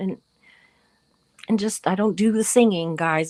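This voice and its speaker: A woman speaks in a Southern US accent at a moderate pace. Her pitch is medium, with ordinary variation. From US South. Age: 50s. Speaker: YouTube live streamer. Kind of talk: casual live-stream chat. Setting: live stream. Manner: animated.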